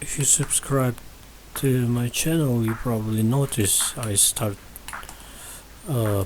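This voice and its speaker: This man talks with a non-native accent. Fairly even intonation runs through what he says. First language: not English. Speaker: game modding youtuber. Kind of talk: real-time tutorial with live commentary. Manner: halting, self-repeating.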